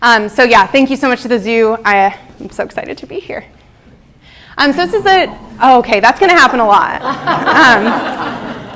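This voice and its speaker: A woman speaks at a high pitch with lively intonation and big swings in loudness. Noticeable background noise is present. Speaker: marine mammal researcher. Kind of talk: lecture. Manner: fast.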